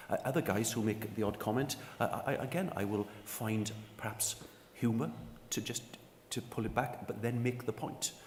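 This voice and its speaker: A man with a medium-pitched voice speaks at a moderate pace over noticeable background noise. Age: 60s. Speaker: sports union executive. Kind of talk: panel discussion.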